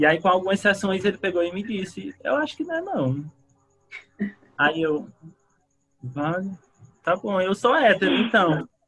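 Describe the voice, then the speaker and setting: Pausing long and often, a high-pitched man talks at a fairly slow pace with lively intonation. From Ceará, northeastern Brazil (Fortaleza). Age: 20s. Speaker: psychology student and psychoanalyst. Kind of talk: casual chat.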